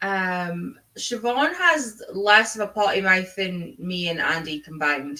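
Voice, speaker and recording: A woman with a Scottish accent, medium-pitched, with lively intonation and a fairly slow pace. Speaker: book streamer. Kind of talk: casual chat.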